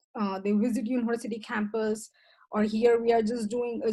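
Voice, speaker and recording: In an Indian accent, a woman speaks at a fairly high pitch. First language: Indian language. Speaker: professor. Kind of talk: presentation talk. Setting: video call.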